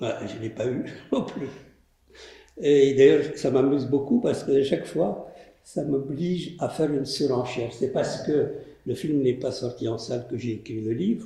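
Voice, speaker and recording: Somewhat breathy and dark, mellow in tone, a man speaks at a moderate pace and fairly high pitch with ordinary pitch variation, long, frequent pauses and audible room echo. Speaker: filmmaker and storyteller. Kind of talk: post-screening interview. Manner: soft-spoken.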